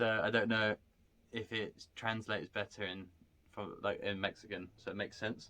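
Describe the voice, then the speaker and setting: Loud and bright with a sharp tone, a man speaks in a fairly low pitch at a moderate pace, his intonation monotone and flat. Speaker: paranormal investigator. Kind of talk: casual chat.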